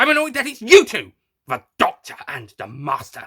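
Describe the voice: A man does a put-on character voice, high-pitched with very wide pitch swings at a moderate pace. The tone is fairly bright with a slightly husky edge.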